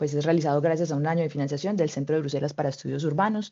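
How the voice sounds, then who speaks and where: With a Colombian accent, a woman speaks at a very deep, low pitch. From Colombia (Medellín). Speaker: mobility researcher. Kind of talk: webinar presentation.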